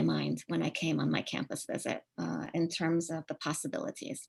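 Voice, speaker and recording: A woman speaks with a Spanish accent and vocal fry. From Uruguay, then Maryland in high school. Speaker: professor. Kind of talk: online lecture. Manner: many filler words (um, uh).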